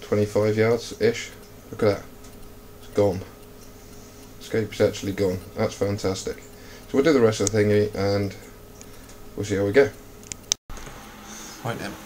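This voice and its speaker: Over noticeable background noise, a man speaks in a fairly low pitch with fairly even intonation and long, frequent pauses. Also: moderate pace. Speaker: air rifle hunter and video maker. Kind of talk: tutorial. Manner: casual; quiet.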